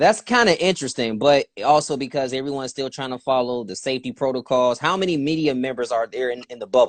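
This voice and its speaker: In a slight Southern accent, a man talks very fast with hardly any pauses at a medium pitch with ordinary variation. His loudness swings widely, and the sound is dry and close with no echo. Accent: slight southern twang. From Youngstown, Ohio. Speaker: interviewer. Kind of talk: casual interview.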